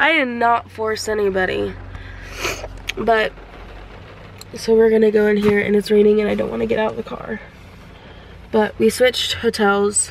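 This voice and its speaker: A woman talks at a moderate pace with long, frequent pauses. Noticeable background noise can be heard. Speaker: vlogger. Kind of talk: casual chat. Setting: in a car.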